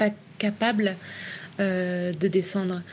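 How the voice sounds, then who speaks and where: A woman's somewhat breathy voice at medium pitch, with a dark, mellow tone. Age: 30s. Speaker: traveller and freediver. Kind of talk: testimony. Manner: halting, with repetitions and hesitations.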